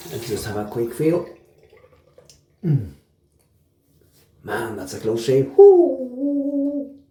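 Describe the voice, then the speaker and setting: A man speaks at a very slow pace. The room echo is audible. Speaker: wet shaving YouTuber. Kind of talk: casual product review vlog. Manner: quiet, relaxed.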